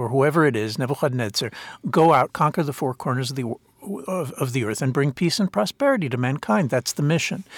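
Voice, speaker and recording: A man with an American accent speaks at a fairly high pitch, with a dry, close sound and no echo. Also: very clean recording, silent background. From US (Princeton, New Jersey). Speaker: author and political philosopher. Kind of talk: interview. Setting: in person, Jerusalem. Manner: halting, many repetitions.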